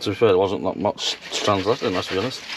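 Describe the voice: Faint background noise sits behind a man talking at a fast pace. His pitch is low, with ordinary pitch variation.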